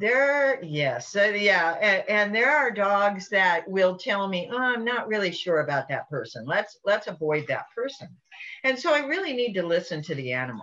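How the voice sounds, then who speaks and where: A woman's pitch swings very widely as she talks at a moderate speed. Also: medium pitch for a woman. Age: 70s. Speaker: animal behavior remedy business owner. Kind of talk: casual talk to camera. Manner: halting, with repetitions.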